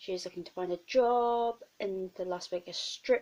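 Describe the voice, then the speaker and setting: A woman speaks with a British accent. Her tone is dark and mellow, with ordinary pitch variation. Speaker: book vlogger. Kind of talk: casual vlog.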